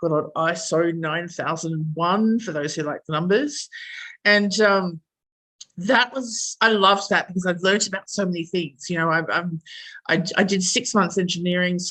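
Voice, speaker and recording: With an Australian accent, a woman speaks at a moderate pace in a bright, sharp tone, her fairly low pitch showing ordinary pitch variation. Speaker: engineer and project manager. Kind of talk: interview. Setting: podcast recording. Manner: hesitant, many fillers.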